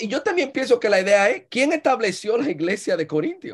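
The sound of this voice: With a slightly husky edge, a woman speaks at a fairly quick pace, her fairly high pitch making big swings.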